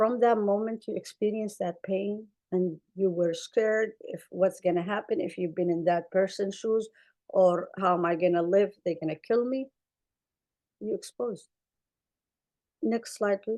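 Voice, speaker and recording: A woman with an Arabic accent, dark and mellow in tone, at a fairly slow pace with long, frequent pauses and ordinary pitch variation. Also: medium pitch for a woman. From Somalia. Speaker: clinician. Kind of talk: webinar panel talk. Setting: webinar.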